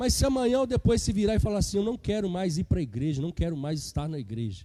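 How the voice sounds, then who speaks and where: Talking at a very fast pace, a man has a high pitch with very wide swings. His tone is dark and mellow. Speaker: preacher. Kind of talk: sermon.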